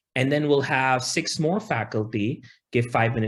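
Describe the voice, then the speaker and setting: Speaking with a non-native accent, a man keeps a moderate pace and ordinary pitch variation. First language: not English. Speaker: professor. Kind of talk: presentation. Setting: video call. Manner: halting.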